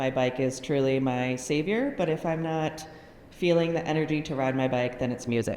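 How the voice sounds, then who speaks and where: With an American accent and ordinary pitch variation, a woman speaks at a moderate pace amid audible room echo. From Connecticut, US. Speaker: patient advocacy director. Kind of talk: casual introduction.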